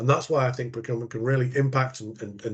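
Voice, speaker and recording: Somewhat breathy and medium in pitch, a man speaks with an English accent over a quiet background. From England. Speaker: procurement professional. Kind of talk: podcast interview.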